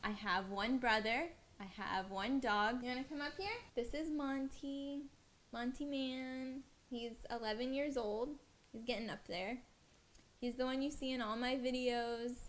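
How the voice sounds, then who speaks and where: A woman with an American accent, high-pitched with ordinary pitch variation, at a fairly slow pace over noticeable background noise. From US South, West Palm Beach, Florida. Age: 20s. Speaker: dancer and vlogger. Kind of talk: casual Q&A vlog.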